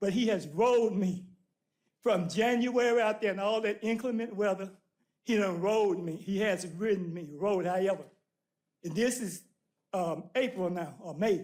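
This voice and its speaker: With a Southern US accent, a high-pitched man talks at a moderate pace with ordinary pitch variation and long, frequent pauses. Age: 70s. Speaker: citizen speaking at public comment. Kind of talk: public comment. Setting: city council meeting. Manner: animated.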